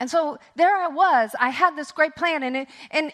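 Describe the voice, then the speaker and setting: Speaking at a fairly slow pace, a woman has a high pitch and ordinary pitch variation. Her tone is animated. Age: 60s. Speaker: women's conference speaker. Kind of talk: sermon. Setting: stage with audience.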